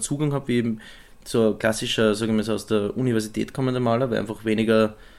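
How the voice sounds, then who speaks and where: A man's intonation stays monotone and flat in this very clean recording with a silent background. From Styria, Austria. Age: 20s. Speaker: visual artist. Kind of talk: interview.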